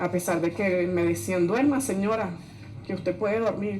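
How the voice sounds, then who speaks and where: A woman at a moderate pace, medium pitch and ordinary pitch variation, with audible room echo and noticeable background noise. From Venezuela. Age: 40s. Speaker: migrant. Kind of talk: testimony.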